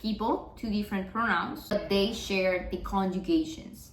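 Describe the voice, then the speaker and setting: A woman's voice amid audible room echo and noticeable background noise. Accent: Spanish. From Mexico. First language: Spanish. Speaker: Spanish teacher. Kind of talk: tutorial.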